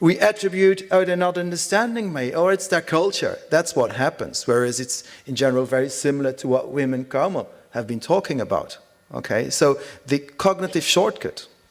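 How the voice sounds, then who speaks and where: With a Dutch accent, a man talks at a moderate pace in a high pitch with lively intonation. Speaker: conference speaker. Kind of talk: conference presentation.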